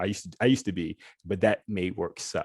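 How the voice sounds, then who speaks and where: Speaking in a Southern US accent, a man with a fairly low pitch and ordinary pitch variation goes at a fairly quick pace, the sound dry and close with no echo. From US South. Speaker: lawyer. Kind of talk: panel discussion. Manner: informal; halting, many restarts.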